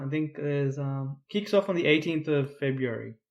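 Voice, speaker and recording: In an Australian accent, a man speaks with a fairly high pitch. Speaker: football podcast co-host. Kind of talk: casual chat. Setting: podcast recording. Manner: trying to speak louder.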